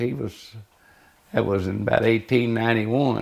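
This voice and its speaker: Here a man speaks with a Texan accent. His pace is moderate and his intonation lively. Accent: Texas Southern. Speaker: interviewee. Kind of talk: oral history interview. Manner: halting.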